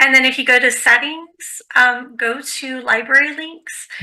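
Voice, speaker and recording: A woman uses a raised, projected voice with a high pitch. Her tone is bright and sharp, and her intonation is monotone and flat. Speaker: librarian. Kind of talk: online workshop tutorial. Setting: online video workshop.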